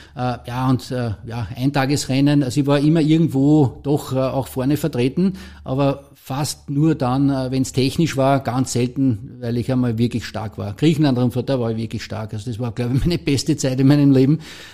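A man with an Austrian accent speaks at a medium pitch in a dark, mellow tone. His intonation stays fairly even, his pace is moderate, and he leaves hardly any pauses. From Austria, St. Pölten (Lower Austria). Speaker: former world champion track cyclist. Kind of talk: interview. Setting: studio. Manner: hesitant, many filler sounds.

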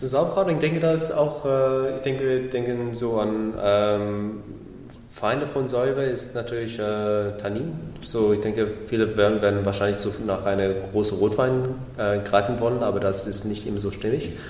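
A man with a fairly low voice talks at a moderate pace with ordinary pitch variation. Noticeable background noise and audible room echo fill the recording. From South Africa. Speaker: sommelier. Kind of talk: casual chat.

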